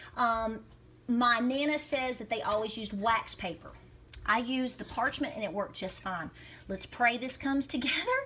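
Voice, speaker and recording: A woman speaks in a Southern Appalachian accent at a high pitch and a moderate pace. Her pitch variation is ordinary, with noticeable background noise behind her. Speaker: homesteader, cooking video host. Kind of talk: casual cooking demonstration to camera. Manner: upbeat, chatty.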